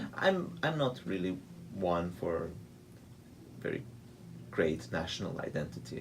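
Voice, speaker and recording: Through audible room echo comes a man's very deep, low voice with a Georgian accent. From Hungary, Budapest. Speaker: pianist and composer. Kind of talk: radio interview.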